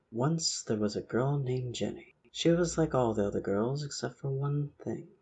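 Soft-spoken, somewhat breathy male speech at a medium pitch and a fairly slow pace. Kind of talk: soft-spoken ASMR book reading of a horror story. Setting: amateur home recording with audio editing.

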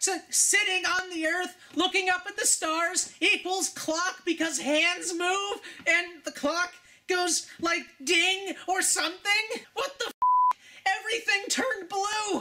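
A cartoonish character voice at an extremely high pitch moves along at a fairly slow pace. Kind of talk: comedic sarcastic rant. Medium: puppet. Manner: mocking, escalating, excited.

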